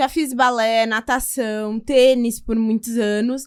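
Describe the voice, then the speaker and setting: A woman with a high pitch talks at a very slow pace. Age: 20s. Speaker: lawyer and marathon runner. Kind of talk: podcast interview.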